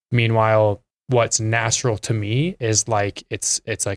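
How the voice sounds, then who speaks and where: A man with an Idaho accent speaks at a fairly slow pace in a dry, close sound with no echo. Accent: Idaho American. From Twin Falls, Idaho. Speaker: former college basketball player, business developer. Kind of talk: casual interview chat.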